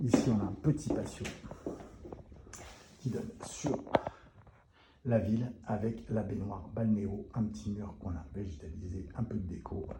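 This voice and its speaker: Audible room echo and noticeable background noise surround a man with a fairly low pitch and ordinary pitch variation. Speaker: short-term rental concierge business owner. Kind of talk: live walkthrough tour. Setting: inside rental apartments. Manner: speaks softly; casual, filler-heavy.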